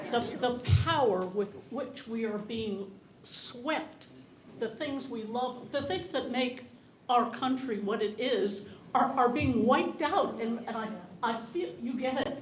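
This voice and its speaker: A woman's high-pitched voice at a very slow pace, with ordinary pitch variation and audible room echo. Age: 80s+. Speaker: audience member at town hall. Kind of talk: public comment at town hall. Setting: library town hall with audience. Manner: halting, repeating words; impassioned.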